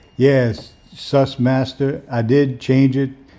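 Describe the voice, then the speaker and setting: A man with a New Orleans accent speaks in a monotone, flat delivery. His tone is dark and mellow. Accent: New Orleans Lower Ninth Ward. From New Orleans, Lower Ninth Ward. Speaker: amateur microscopist streamer. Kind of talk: live stream commentary. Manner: relaxed, casual.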